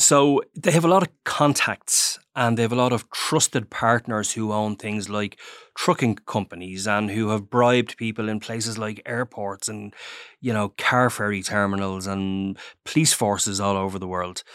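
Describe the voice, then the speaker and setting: A man with an Irish accent speaks at a moderate pace, his fairly low pitch moving with ordinary variation. The recording is very clean and dry, close with no echo, over a silent background. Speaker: newspaper crime journalist. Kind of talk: interview.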